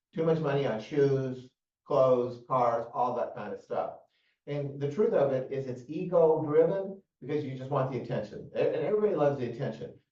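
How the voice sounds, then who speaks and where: A man's fairly high, somewhat breathy voice at a fairly quick pace, with ordinary pitch variation and audible room echo. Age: 60s. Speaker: mortgage and finance show host. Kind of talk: casual financial advice discussion. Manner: hesitant with many fillers and repeats.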